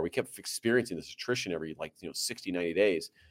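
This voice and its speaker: Against a silent background, this very clean recording captures a man. He speaks very fast with a Midwestern American accent. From US Midwest, Central Illinois and St. Louis. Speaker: company founder and marketing consultant. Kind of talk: interview conversation.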